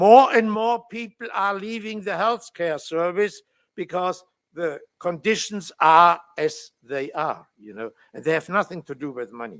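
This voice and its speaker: With a German accent, a man speaks at a high pitch and a fairly slow pace. His intonation is lively, and his loudness swings widely. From Germany. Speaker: labour law professor. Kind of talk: conference talk.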